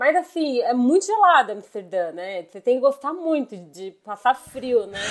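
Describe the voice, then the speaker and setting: At a fairly slow pace, a woman talks in a fairly high pitch that swings very widely. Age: 30s. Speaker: IT worker, traveler. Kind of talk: casual chat.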